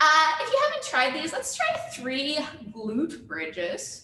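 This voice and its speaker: With an upbeat tone, a woman uses a raised, projected voice amid audible room echo and noticeable background noise. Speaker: fitness instructor. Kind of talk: live online workout class. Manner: upbeat, encouraging.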